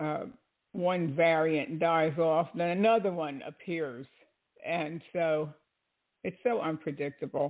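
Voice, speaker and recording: Speaking at a very slow pace with long, frequent pauses, a woman uses a fairly low pitch and ordinary pitch variation. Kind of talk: casual commentary monologue. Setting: online radio broadcast with chat room.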